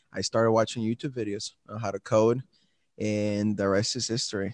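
A man speaks at a fairly quick pace with a fairly low pitch. The sound is dry and close with no echo, over a quiet background. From Mexico (Guadalajara), then Milwaukee from age 13. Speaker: startup founder. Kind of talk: interview.

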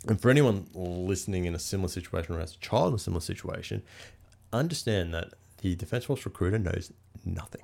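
An Australian accent at a very fast pace with ordinary pitch variation. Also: man, very deep, low pitch for a man. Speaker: air force pilot and hunter. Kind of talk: casual chat.

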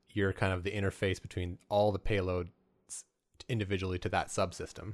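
An ordinary speaking voice from a man with a Canadian accent, fairly low in pitch, with fairly even intonation, on a very clean recording with a silent background. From Alberta, Canada. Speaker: podcast host. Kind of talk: interview; scripted narration.

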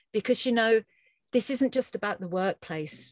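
Against a quiet background, a woman with a British accent is recorded in a dry, close sound with no echo. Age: 50s. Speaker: researcher on teacher wellbeing. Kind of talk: interview.

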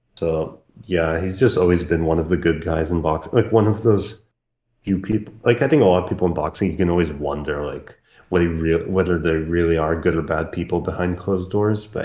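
A man with an Eastern European accent talks at a fairly quick pace in a very deep, low voice with a dark, mellow tone. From post-Soviet country, Eastern Europe. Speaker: boxing podcast guest. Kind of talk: casual chat.

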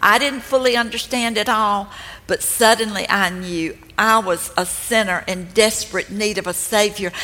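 Noticeable background noise runs through the clip. The speaking pace is fairly slow. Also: woman. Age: 70s. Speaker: speaker at women's ministry event. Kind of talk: sermon. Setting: stage with audience.

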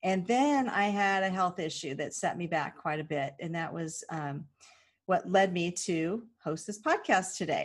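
In a very clean recording with a silent background, a woman with a West Coast accent speaks at a fairly slow pace, medium pitch and ordinary pitch variation. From California. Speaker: podcast host, financial advocate. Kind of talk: casual monologue.

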